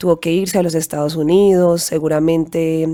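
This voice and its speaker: A woman with a fairly low pitch and a dark, mellow tone speaks at a moderate pace in a flat monotone. The recording is very clean and silent, with a dry, close sound and no echo. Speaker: podcast host. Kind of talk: motivational monologue.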